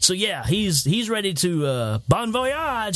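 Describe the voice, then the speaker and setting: His pitch swings very widely. The man speaks with a Southern US accent. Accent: Southern US, noticeable. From Tennessee. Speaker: movie podcast host. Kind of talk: casual chat. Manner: animated.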